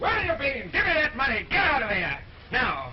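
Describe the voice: A man speaks in a put-on character voice at an extremely high pitch, with very wide pitch swings and a fairly quick pace. Room echo is audible.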